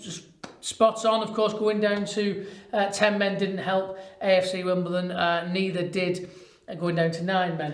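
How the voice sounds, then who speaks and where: A man talks at a high pitch in a Lancashire accent with fairly even intonation. Audible room echo surrounds his voice. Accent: northern English (Lancashire). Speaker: football podcast host. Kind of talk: casual chat.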